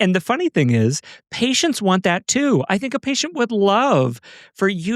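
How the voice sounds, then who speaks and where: Recorded with a dry, close sound and no echo, a man talks at a fairly quick pace. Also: very clean recording, silent background. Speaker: physician podcast host. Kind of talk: casual chat. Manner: fast.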